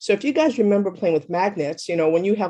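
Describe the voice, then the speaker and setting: The background is quiet as a woman speaks with lively intonation. Her tone is dark and mellow. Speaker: massage therapy teacher. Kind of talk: lecture. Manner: fast.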